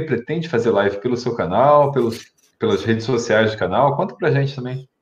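A somewhat breathy man at a fairly quick pace and medium pitch. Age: 30s. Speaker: YouTube channel host. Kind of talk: live stream chat.

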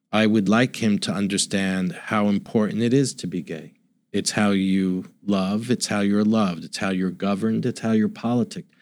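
A plain, everyday voice from a man, fairly low in pitch, at a moderate pace with hardly any pauses and fairly even intonation, on a very clean recording with a silent background. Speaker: author and father. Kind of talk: interview.

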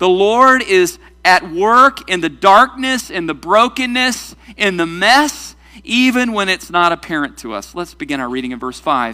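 A man projects his voice loudly, high in pitch with a bright, sharp tone. His pitch swings very widely. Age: 40s. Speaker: pastor. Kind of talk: sermon.

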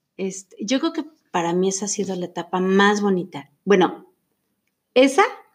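Here a woman of medium pitch speaks at a moderate pace with lively intonation. She leaves long, frequent pauses. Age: 50s. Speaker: homemaker. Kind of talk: casual interview.

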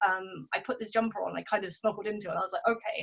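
The speaker has a southern English accent. The pace is very fast. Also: woman. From southern England. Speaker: blogger and bookshop manager. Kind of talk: casual chat.

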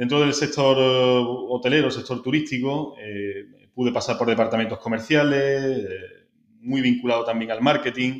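The speaker has a plain, everyday voice and talks at a fairly slow pace with fairly even intonation. The background is quiet. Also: man. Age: 30s. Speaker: marketing director. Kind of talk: interview.

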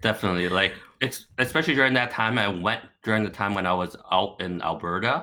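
A man with a Canadian accent speaks very fast in a bright, sharp tone at a fairly low pitch. His pitch varies in an ordinary way on a very clean recording with a silent background. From Markham, Toronto area, Canada (born in Hong Kong). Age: late 20s. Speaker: podcast guest, former English teacher. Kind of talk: casual chat.

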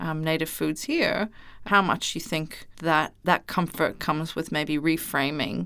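A plain, everyday voice from a woman, fairly low in pitch with ordinary pitch variation at a moderate pace, in a very clean recording with a silent background. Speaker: podcast producer. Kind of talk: interview conversation.

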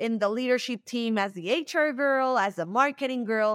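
Dry, close sound with no echo, from a woman at a high pitch, moderate pace and ordinary pitch variation. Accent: Spanish. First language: Spanish. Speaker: startup founder and CEO. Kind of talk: interview. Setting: remote call from Mexico. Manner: animated, repeats words when starting.

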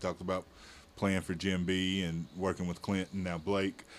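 This man has a normal speaking voice with a fairly low pitch. He speaks at a moderate pace. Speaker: podcast host. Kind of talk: casual interview.

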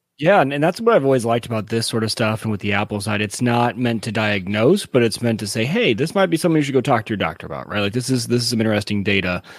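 A man talks at a very fast pace with hardly any pauses. His pitch is medium, and there is noticeable background noise. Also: ordinary pitch variation. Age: 30s. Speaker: podcast co-host. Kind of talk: casual chat.

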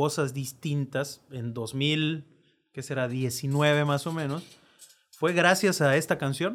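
A man talks very slowly, his pitch sitting fairly high. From Mexico, born in La Rioja, Argentina. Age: 30s. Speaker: political staffer and writer. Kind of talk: casual chat.

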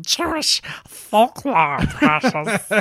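A put-on character voice, fairly high in pitch, with very wide pitch swings. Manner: uneasy, wheedling.

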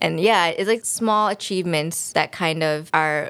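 In an unremarkable speaking voice with an American accent, a woman speaks at a moderate pace with lively intonation. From US. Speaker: graduate student and illustrator. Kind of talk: interview.

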